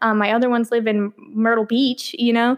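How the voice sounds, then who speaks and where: Fairly even, high-pitched speech from a woman at a moderate pace against a quiet background. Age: 20s. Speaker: podcast host. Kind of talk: casual solo monologue. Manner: chatty, many fillers. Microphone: echoey room, no pop filter.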